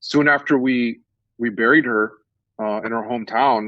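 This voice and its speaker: A man speaks with an American accent at a medium pitch. His pace is moderate. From South Texas. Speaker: professor. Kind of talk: interview.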